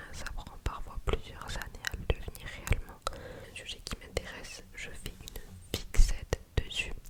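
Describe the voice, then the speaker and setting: Over noticeable background noise, a woman whispers at a fairly slow pace. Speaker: ASMR creator. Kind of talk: ASMR casual chat to camera. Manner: whispered; slow, soft-spoken.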